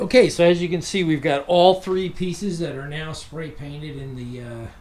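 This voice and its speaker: A man with an American accent speaks at a moderate pace and a fairly high pitch, with ordinary pitch variation. His loudness swings a lot, and noticeable background noise can be heard. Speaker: outdoors YouTuber. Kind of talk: tutorial. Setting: home garage. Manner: casual.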